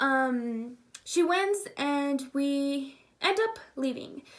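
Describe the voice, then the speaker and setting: A woman's high-pitched, animated voice. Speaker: YouTuber and pageant titleholder. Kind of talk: casual vlog storytelling.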